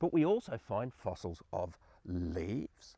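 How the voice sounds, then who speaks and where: A man talks with an Australian accent, his pitch swinging very widely. The sound is dry and close with no echo, over a quiet background. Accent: Australian, noticeable. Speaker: science presenter for children. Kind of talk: educational presentation for children. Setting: outdoors in his garden.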